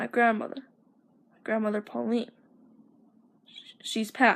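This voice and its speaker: A woman's put-on character voice, fairly high and mumbling, in a monotone, flat intonation at a moderate pace. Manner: mumbling and stuttering.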